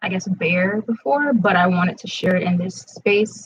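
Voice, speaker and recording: Somewhat breathy and at a medium pitch, a woman speaks at a fairly slow pace with ordinary pitch variation. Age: young. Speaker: spoken word poet hosting a workshop. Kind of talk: live-streamed workshop talk. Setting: livestream at home. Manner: casual with frequent fillers.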